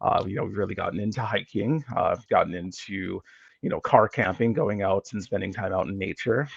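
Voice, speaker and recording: A man's fairly low-pitched voice with ordinary pitch variation, at a fairly quick pace. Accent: American. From Minnesota, US. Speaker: geographer, academic. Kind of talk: podcast interview.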